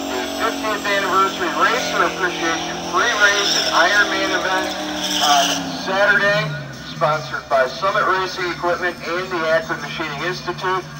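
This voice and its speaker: A man's voice at a moderate pace, with ordinary pitch variation and music in the background. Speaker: track announcer. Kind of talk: event announcement and race commentary. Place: stadium.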